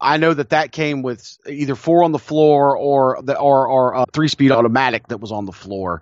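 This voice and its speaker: A man with a Southern US accent talks at a moderate pace, his pitch fairly high for a man. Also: ordinary pitch variation. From South Carolina, US South. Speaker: podcast co-host. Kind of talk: casual chat. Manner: halting with frequent repetitions.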